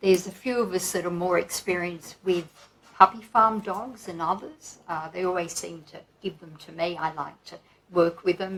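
A woman at a fairly low pitch, fairly bright in tone, with fairly even intonation at a moderate pace

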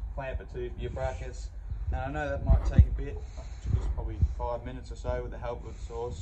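A man talks at a very fast pace. Loud noise fills the background. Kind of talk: tutorial. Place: street.

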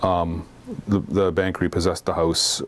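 The speaker is a man. His pitch sits very deep and low. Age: 40s. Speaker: recovering alcoholic. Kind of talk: testimony. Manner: halting. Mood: somber, reflective. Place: studio. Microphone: lapel.

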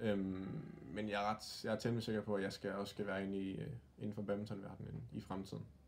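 Fairly quick speech with fairly even intonation runs over light background noise. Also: man, fairly low pitch for a man. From Denmark, Aarhus; Denmark. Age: 20s. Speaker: youth badminton coach and former pro player; youth badminton coach. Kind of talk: interview. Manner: halting, many fillers; calm. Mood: calm, friendly. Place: home room. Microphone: phone near.

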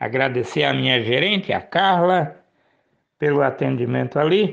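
A man's fairly high voice with vocal fry. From Paraná, Brazil (Maringá). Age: 50s. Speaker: local news presenter. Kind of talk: news commentary show.

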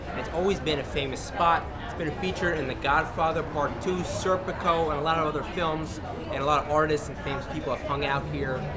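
A man with an American accent, fairly even intonation and a fairly quick pace, over loud background noise. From New York City, Greenwich Village; New York City. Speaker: tour guide. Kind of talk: walking tour vlog. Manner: casual. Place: street.

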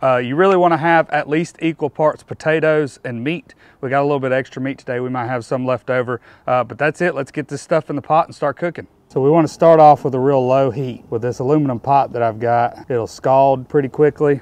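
A man with a medium pitch and slightly mellow tone talks at a fairly quick pace, with few pauses and fairly even intonation.

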